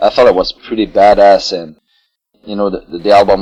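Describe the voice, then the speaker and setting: A man speaks at a moderate pace with a Quebec accent. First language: French. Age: 40s. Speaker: metal band vocalist. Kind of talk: interview. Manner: halting.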